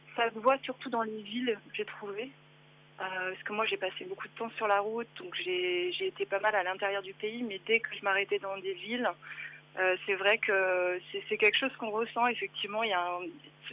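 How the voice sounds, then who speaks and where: A woman with an unremarkable speaking voice at a medium pitch and a moderate pace. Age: 30s. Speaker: travel blogger and web writer. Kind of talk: casual radio interview.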